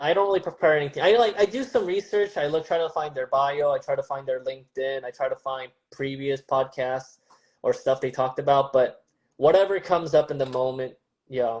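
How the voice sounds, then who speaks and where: A man with a Californian accent, fairly high in pitch, at a fairly quick pace with ordinary pitch variation. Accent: General American, California. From Southern California (Glendale), from age 7; born in Seoul. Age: 30s. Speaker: stand-up comedian. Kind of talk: casual interview chat.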